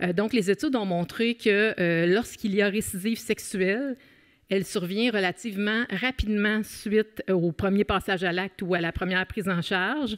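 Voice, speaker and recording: Recorded with a dry, close sound and no echo, a woman with a Quebec accent speaks at a moderate pace and medium pitch, with ordinary pitch variation. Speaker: criminologist and professor. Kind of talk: conference talk. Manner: many hesitations (euh).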